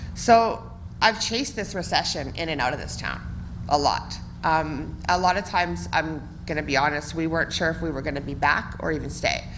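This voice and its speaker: Audible room echo surrounds a woman with a western Canadian accent who talks at a fairly quick pace in a very deep, low pitch. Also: ordinary pitch variation. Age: 30s. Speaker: municipal election candidate. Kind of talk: campaign speech at candidates forum. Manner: loud.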